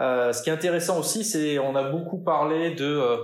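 A man speaks at a moderate pace with ordinary pitch variation, and audible room echo follows his voice. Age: 40s. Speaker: marketing director. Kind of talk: interview. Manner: hesitant, repeats words.

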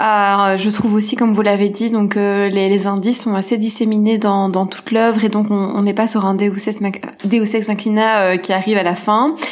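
A woman at a medium pitch with monotone, flat intonation, very even loudness and hardly any pauses, amid noticeable background noise and audible room echo. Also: moderate pace. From Belgium. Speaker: screenwriter. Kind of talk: casual chat about books. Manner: halting, many repetitions.

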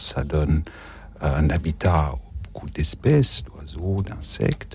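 Against noticeable background noise, a man with a very deep, low voice speaks at a very slow pace with ordinary pitch variation. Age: 50s. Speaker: religious brother. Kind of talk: radio talk show.

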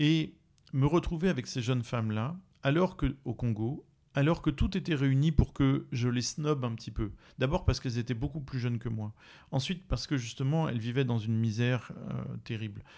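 A man speaks at a moderate pace in a medium pitch, his tone dark and mellow, on a very clean recording with a silent background. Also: ordinary pitch variation. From France. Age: 40s. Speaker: writer. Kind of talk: interview. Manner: halting, many repetitions.

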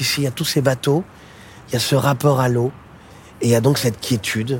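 At a moderate pace and with fairly even intonation, the speaker talks over noticeable background noise. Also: man. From Paris, France. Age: 40s. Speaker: singer-songwriter. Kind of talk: casual chat. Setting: outdoors.

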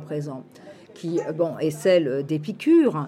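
A woman's voice over noticeable background noise. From France, Île-de-France (Meaux). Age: 60s. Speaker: psychoanalyst and philosophy lecturer. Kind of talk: interview conversation. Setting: outdoor urban farm venue at a festival. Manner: halting, many fillers and repetitions.

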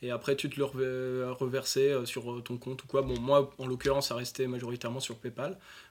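At a moderate pace and with hardly any pauses, a man speaks at a medium pitch in a flat, monotone way. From northern France, north of Lille. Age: 20s. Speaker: e-commerce entrepreneur and crypto expert. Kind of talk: interview. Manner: halting, many fillers.

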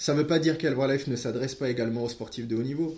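Somewhat breathy, a man speaks at a medium pitch with ordinary pitch variation and audible room echo. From West Africa. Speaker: nutrition product distributor. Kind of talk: podcast interview.

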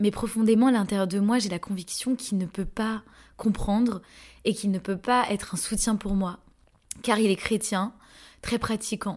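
A somewhat breathy woman with a fairly high pitch, fairly even intonation and a moderate pace. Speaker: podcast host and energy therapist coach. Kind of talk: personal testimony.

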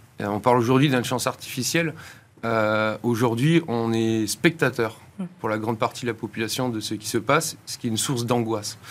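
With an unremarkable speaking voice of medium pitch, a man talks at a fairly quick pace with ordinary pitch variation. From France. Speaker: institute founder and director. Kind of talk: interview.

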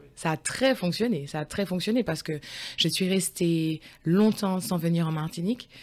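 A woman talks in an unremarkable speaking voice, fairly low in pitch with ordinary pitch variation. Her pace is moderate, and the recording is very clean with a silent background. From France, Lyon area. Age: 40s. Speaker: school teaching assistant. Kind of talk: interview conversation.

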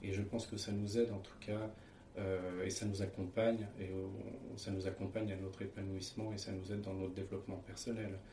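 Speaking at a fairly quick pace, a man uses a fairly low pitch and a monotone, flat intonation. The recording has noticeable background noise and audible room echo. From France, Paris region (Seine). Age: 30s. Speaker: interviewee, husband in interfaith couple. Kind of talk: testimony. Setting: at home. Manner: hesitant, frequent fillers.

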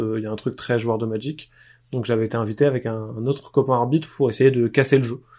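At a very fast pace, a man talks in a medium pitch with a dark, mellow tone and monotone, flat intonation. The recording is very clean, with a silent background. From France, Poitiers. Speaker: board game designer. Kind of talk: casual chat.

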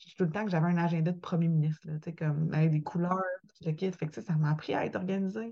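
Somewhat breathy and dark, mellow in tone, a woman in a Quebec accent speaks with fairly even intonation. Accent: Québécois French. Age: 20s. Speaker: podcaster and author. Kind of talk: interview testimony.

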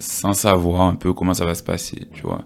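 Noticeable background noise runs under this recording. The speaker is a man with a very deep, low pitch. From Guadeloupe. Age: 20s. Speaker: fitness coach. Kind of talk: casual interview chat.

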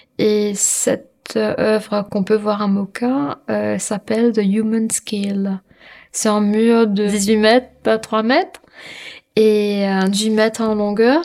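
A woman's fairly high voice, very slow pace and fairly even intonation. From Mauritius. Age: 30s. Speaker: street artist. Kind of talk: interview. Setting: hotel room. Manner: soft-spoken; halting with fillers.

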